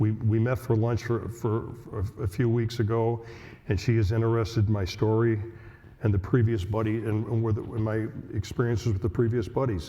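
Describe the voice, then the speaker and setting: A man's dark, mellow, somewhat breathy voice at medium pitch moves at a moderate pace with fairly even intonation and very even loudness. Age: 70s. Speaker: patient with Alzheimer's in a buddy program. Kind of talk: prepared speech at a symposium. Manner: halting, repeating words.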